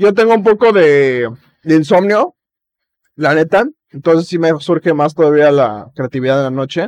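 A man with a fairly high pitch speaks with lively intonation and long, frequent pauses, in a dry, close sound with no echo. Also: moderate pace. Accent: Mexican. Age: 20s. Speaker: podcast host. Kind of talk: casual chat.

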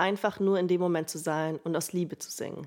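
On a very clean recording with a silent background, a woman with a normal speaking voice talks in a fairly low pitch with fairly even intonation. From Allgäu, southern Germany (Bavaria). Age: 20s. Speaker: student podcaster. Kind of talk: personal storytelling monologue.

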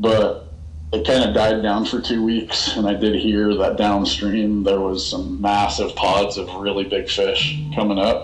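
A man with a fairly low pitch and ordinary pitch variation, at a fairly slow pace, with audible room echo and noticeable background noise. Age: 30s. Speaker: fly fishing ambassador. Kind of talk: casual interview.

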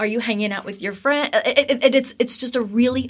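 Ordinary pitch variation shapes the somewhat breathy voice of a woman. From New Jersey, US. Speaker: university recruiter. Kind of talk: interview conversation.

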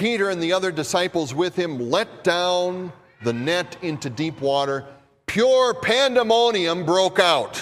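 The recording is very clean, with a silent background. A man with a Minnesota accent talks at a very slow pace in a high pitch with lively intonation. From US Midwest. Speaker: pastor. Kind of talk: sermon. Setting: church.

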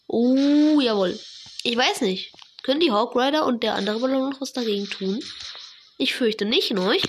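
Noticeable background noise sits behind a woman's high-pitched voice. She speaks with long, frequent pauses. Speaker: gaming podcaster. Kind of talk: gameplay commentary. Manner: animated; hesitant, many fillers.

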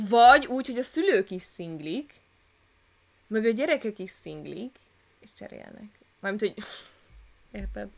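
A woman's fairly high voice at a fairly slow pace, with lively intonation and long, frequent pauses. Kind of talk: casual chat. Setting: new recording location.

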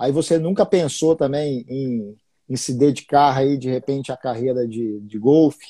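In a dark, mellow tone, a man of medium pitch speaks fairly slowly with ordinary pitch variation. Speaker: investing podcast host. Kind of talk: casual live-stream interview. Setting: Instagram live stream.

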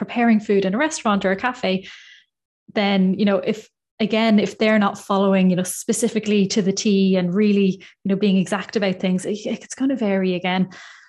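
Over a quiet background, a woman with an Irish accent speaks at a medium pitch and a fairly quick pace with fairly even intonation. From Ireland. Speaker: dietitian. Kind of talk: interview. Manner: calm.

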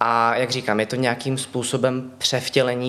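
A man talks at a moderate pace at medium pitch in an ordinary speaking voice. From Czechia, Ostrava. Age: 20s. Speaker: puppy play titleholder. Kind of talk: casual interview.

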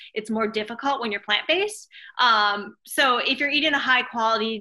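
This voice has a bright, sharp tone and an American accent, moving at a fairly quick pace with ordinary pitch variation. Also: woman. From Minnesota, US Midwest. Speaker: nutrition coach and ultrarunner. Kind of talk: interview.

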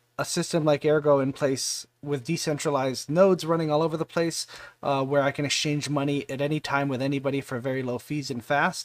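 A man talks at a fairly quick pace in an ordinary speaking voice, fairly high in pitch. His pitch varies in an ordinary way, and the recording is very clean with a silent background. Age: 40s. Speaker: crypto community livestream host. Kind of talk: casual livestream AMA. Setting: live stream.

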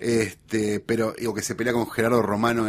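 Noticeable background noise sits behind this recording. A man speaks at a very fast pace. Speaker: writer and guest. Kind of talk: casual chat.

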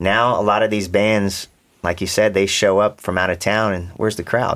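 A man's fairly low, flat, monotone voice with an American accent at a moderate pace, on a very clean recording with a silent background. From Florida. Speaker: reggae musician. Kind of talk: casual interview.

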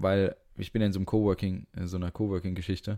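Talking at a very fast pace, a man uses a dark, mellow tone with monotone, flat intonation. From Frankfurt, Hesse. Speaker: podcast co-host. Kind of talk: casual chat. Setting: video call from home.

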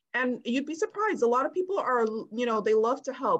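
Against a quiet background, a woman with a New York accent talks at a fairly quick pace. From US Northeast (Brooklyn, New York). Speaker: real estate investor and IT analyst. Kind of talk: interview. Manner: halting, many fillers.

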